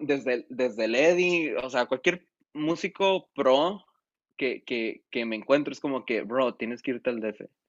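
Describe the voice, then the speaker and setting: A man with an ordinary speaking voice, lively intonation and a fairly slow pace. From San Felipe, Baja California, Mexico. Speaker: musician and producer. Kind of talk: casual chat.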